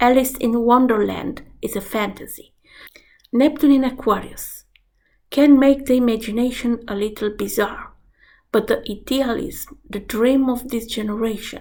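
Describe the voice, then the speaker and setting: A woman with a Romanian accent speaks at a fairly slow pace in a fairly high pitch, her intonation fairly even. Audible room echo surrounds her voice. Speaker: astrologer. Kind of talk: vlog lecture.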